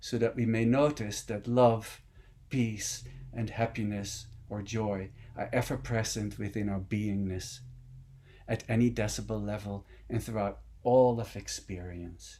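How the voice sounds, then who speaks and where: With a Dutch accent, a man talks at a fairly slow pace and a fairly low pitch. His tone is dark and mellow, with fairly even intonation. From Netherlands. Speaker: meditation teacher. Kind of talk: dharma talk.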